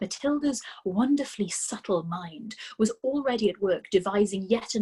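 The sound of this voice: The voice reads in an unforced way with lively intonation.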